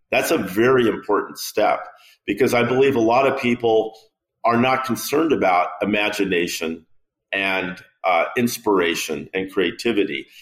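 In a plain, everyday voice, a man speaks at medium pitch with a General American accent. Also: ordinary pitch variation, moderate pace. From US West Coast, San Francisco. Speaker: product designer and company founder. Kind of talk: interview conversation.

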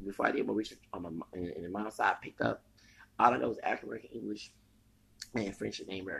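A man with a Texas accent speaks in an angry, animated tone. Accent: Southern US, Texas. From US South, Texas. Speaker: podcaster. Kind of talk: casual rant, opinionated commentary.

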